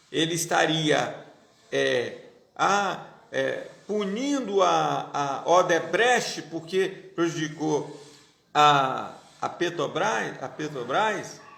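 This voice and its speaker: A man speaks at a very slow pace with long, frequent pauses. There is audible room echo. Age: 50s. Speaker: pastor. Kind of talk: political commentary monologue. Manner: halting.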